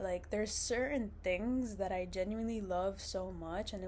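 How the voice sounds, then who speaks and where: A woman talks at a fairly quick pace. Room echo is audible. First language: Arabic. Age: 20s. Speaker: vlogger, university student. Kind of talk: casual vlog monologue. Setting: indoors, seated on a couch. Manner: casual, many fillers and restarts.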